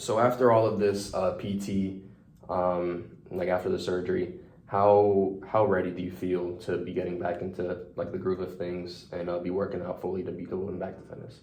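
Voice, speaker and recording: A man talks at a moderate pace in a very deep, low pitch. Audible room echo surrounds his voice. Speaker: student clinician (physical therapy/training). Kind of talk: self-assessment reflection; role-play client interview. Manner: many filler words (um, like).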